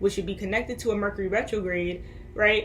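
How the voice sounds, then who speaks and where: Background noise is noticeable here. Through it comes a woman's voice. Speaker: spiritual vlogger. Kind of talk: casual monologue. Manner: halting.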